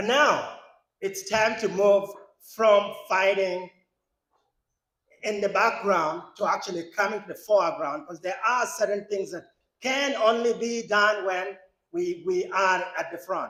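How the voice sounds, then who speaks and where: A man with a non-native accent speaks in a high, bright, sharp tone with ordinary pitch variation, leaving long, frequent pauses. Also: fairly slow pace. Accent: foreign. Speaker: congressional candidate, lawyer. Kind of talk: campaign speech.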